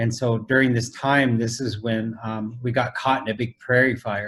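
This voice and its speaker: Somewhat breathy, a man speaks in a medium pitch with monotone, flat intonation. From US Midwest, Council Bluffs, Iowa; Lakota family. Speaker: traditional artist. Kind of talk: interview on video call. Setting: video call. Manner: conversational, many fillers.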